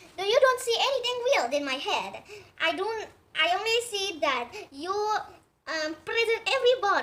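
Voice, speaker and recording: In a put-on character voice of extremely high pitch, a woman speaks at a moderate pace with long, frequent pauses. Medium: read story.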